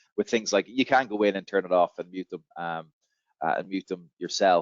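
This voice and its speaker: An Irish accent marks this man's speech, delivered at a fairly quick pace. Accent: Irish brogue. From Ireland. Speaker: software company representative. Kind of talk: webinar Q&A. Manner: fast; hesitant with fillers.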